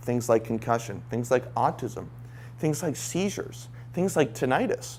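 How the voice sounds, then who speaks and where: The delivery has an animated tone and audible vocal fry. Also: man. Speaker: brain training coach giving a talk. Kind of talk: live talk to audience. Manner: fast.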